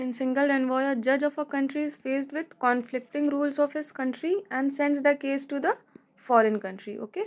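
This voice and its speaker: A woman talks at a fairly quick pace. Her high pitch shows ordinary variation. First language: Hindi. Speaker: law tutor. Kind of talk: tutorial.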